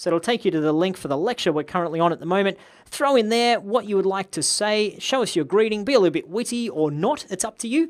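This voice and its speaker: In an Australian accent, a woman at medium pitch speaks at a very fast pace with hardly any pauses and lively intonation. The recording is very clean, with a silent background. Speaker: online course instructor. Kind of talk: tutorial. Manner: casual.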